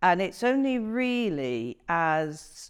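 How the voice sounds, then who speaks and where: A woman speaks in an English Midlands accent with lively intonation. The recording is very clean with a silent background. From England, Coventry. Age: 60s. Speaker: interviewee. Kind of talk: interview.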